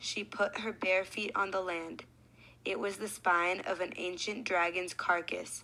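Fairly even intonation in a natural reading voice.

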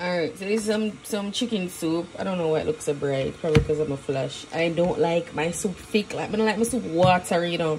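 Over loud background noise, a woman speaks at a fairly low pitch and a fairly quick pace with ordinary pitch variation and hardly any pauses. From Jamaica. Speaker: vlogger. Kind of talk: casual vlog. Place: kitchen. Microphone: phone near.

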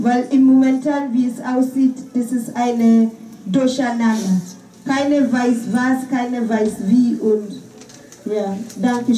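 The speaker has a non-native accent and talks very slowly with fairly even intonation. Room echo is audible, and there is noticeable background noise. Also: woman, high pitch for a woman. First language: not German (speaking German). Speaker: volunteer refugee activist. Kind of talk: press conference statement. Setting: press conference.

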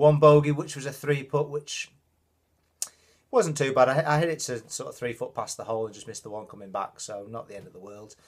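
A man at a fairly quick pace, with big swings in loudness and ordinary pitch variation. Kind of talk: casual vlog chat. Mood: relaxed, mildly pleased. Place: home room. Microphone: phone near.

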